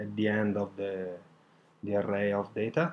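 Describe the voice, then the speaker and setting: A man with a non-native accent speaks at a fairly low pitch. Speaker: online course student. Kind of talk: tutorial. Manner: halting, many fillers.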